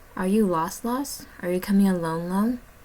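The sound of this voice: In a put-on character voice, a female-sounding speaker goes squeaky at middle pitch and a moderate pace.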